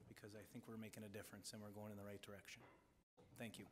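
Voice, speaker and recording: A man talks with a Wisconsin accent. Room echo can be heard. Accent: Upper Midwest (Wisconsin). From Wisconsin (West Allis, Milwaukee area). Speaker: school board member. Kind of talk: candidate forum statement.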